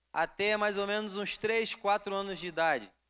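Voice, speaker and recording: A man uses a raised, projected voice with a bright, sharp tone and a high pitch, in a Rio de Janeiro accent. He speaks at a fairly slow pace on a very clean recording with a silent background. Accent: Carioca. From Rio de Janeiro, Brazil. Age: 20s. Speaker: preacher. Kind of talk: sermon.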